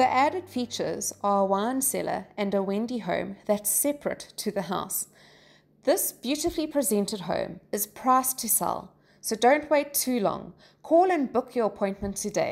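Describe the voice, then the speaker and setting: There is vocal fry in this woman's fairly high voice. Her intonation is lively. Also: moderate pace. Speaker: voice over artist. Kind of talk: real estate property walkthrough narration.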